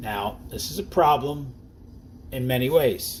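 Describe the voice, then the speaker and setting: A somewhat breathy man of medium pitch with a New Jersey accent and lively intonation. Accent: New Jersey accent, noticeable. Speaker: network marketing distributor. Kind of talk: sales presentation. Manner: casual, conversational.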